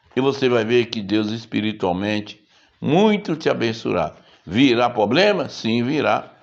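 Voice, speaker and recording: A man speaks at a medium pitch with lively intonation. Vocal fry runs through his voice. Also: fairly slow pace. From Brazil. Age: 70s. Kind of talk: sermon.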